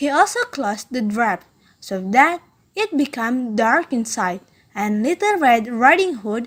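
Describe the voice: Plain reading aloud carries lively intonation.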